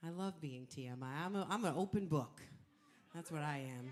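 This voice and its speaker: A woman's dark, mellow tone at a fairly low pitch and moderate pace. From Canada, Edmonton. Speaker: singer. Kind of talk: stage banter. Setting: stage with audience. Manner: animated.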